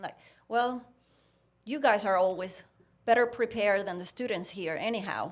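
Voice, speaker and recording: The speaker has a Puerto Rican accent and ordinary pitch variation, with big swings in loudness. The pace is moderate, broken by long, frequent pauses. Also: woman, medium pitch for a woman. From Puerto Rico. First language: Spanish. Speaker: veterinarian. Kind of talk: casual chat, storytelling.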